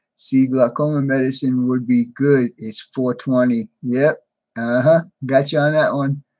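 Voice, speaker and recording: Against a quiet background, a man talks fairly slowly at a medium pitch with monotone, flat intonation. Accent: American. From New York. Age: 60s. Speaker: hobby channel host, model trains. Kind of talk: live stream chat with viewers. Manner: casual, conversational.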